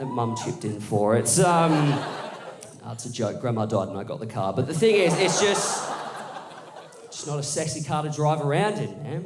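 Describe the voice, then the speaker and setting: A man with an Australian accent speaks at a fairly high pitch and a moderate pace, his pitch swinging very widely and broken by long, frequent pauses. The room echoes audibly, and there is noticeable background noise. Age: 20s. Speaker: stand-up comedian. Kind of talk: stand-up. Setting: stage with audience.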